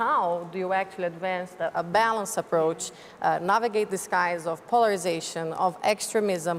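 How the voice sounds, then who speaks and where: Over noticeable background noise, a woman at medium pitch talks at a moderate pace with ordinary pitch variation. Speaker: think tank founder, panelist. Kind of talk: panel discussion. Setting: stage with audience. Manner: halting, many fillers.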